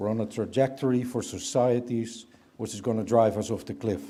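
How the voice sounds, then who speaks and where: In a Dutch accent, a man talks at a moderate pace. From Netherlands. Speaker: business leader. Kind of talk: keynote speech. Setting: conference stage with audience.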